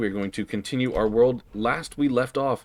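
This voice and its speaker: A man speaks at a moderate pace with ordinary pitch variation, on a very clean recording with a silent background. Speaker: game streamer. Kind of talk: live game stream commentary. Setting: live stream. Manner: loud and bombastic; hesitant with many filler words.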